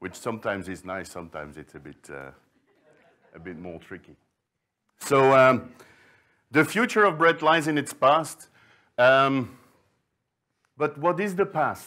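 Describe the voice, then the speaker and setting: In a very clean recording with a silent background, a medium-pitched man with a bright, sharp tone speaks fairly slowly, with very wide pitch swings, big swings in loudness and long, frequent pauses. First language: Flemish. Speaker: sourdough librarian, baking expert. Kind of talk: conference talk.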